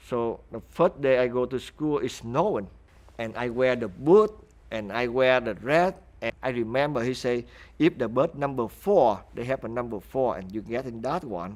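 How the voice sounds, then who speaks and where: A man with a Vietnamese accent speaks at a moderate pace and a medium pitch. His intonation is lively. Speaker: refugee interviewee. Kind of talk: interview testimony.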